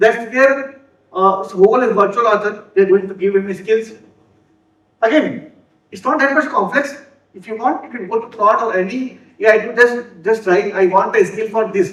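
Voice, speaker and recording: A man with a high voice speaks with ordinary pitch variation and big swings in loudness, and the room echo is audible. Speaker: software developer and conference speaker. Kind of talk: conference talk. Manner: fast; halting, with repeated words and self-corrections.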